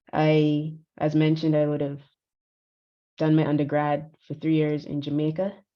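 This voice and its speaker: Speaking at a moderate pace with long, frequent pauses, a woman uses a very deep, low pitch and a monotone, flat intonation. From Barbados. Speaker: conference speaker. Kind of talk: conference talk. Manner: halting.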